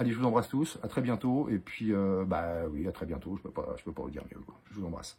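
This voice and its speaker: Speaking at a fairly quick pace with hardly any pauses, a man uses a fairly low, dark, mellow voice that is somewhat breathy. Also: lively intonation. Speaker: wildlife photographer and author. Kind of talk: casual video message to followers. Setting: outdoors in the cold. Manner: fast; hesitant, many fillers.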